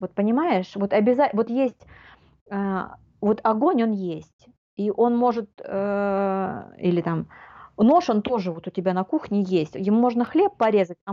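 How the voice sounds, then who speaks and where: A woman with an ordinary speaking voice talks at medium pitch and a moderate pace. Her intonation is lively. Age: 40s. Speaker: life coach. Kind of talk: casual chat.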